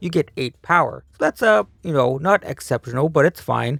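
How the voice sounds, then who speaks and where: A quiet man speaks with lively intonation, the sound dry and close with no echo. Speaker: card game content creator. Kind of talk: tutorial.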